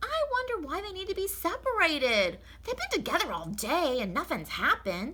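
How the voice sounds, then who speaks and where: Amid light background noise, a woman puts on a character voice at an extremely high pitch, swinging her pitch very widely at a moderate pace. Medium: read story. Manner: folksy, earnest.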